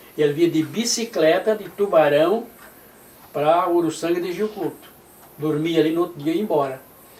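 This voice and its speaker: A man speaks at a high pitch while noticeable background noise carries on. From southern Brazil, Santa Catarina (Criciúma region). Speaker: retired pastor, church pioneer. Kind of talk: oral history interview. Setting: at his home.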